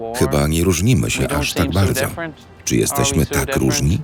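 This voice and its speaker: With music in the background, a man speaks at a moderate pace in a very deep, low pitch. His pitch swings very widely while his loudness stays very even. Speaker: voice-over narrator. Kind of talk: documentary voice-over translation.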